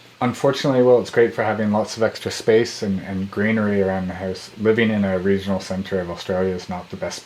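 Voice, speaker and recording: A man with a fairly low pitch and fairly even intonation speaks at a very fast pace amid noticeable background noise. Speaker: startup founder vlogger. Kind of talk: video update.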